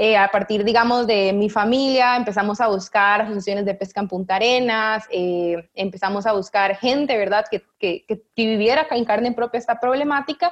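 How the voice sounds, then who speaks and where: A woman with a fairly high pitch talks at a moderate pace, using ordinary pitch variation and hardly any pauses. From Costa Rica, San José. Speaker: researcher. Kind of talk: interview. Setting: video call. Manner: animated.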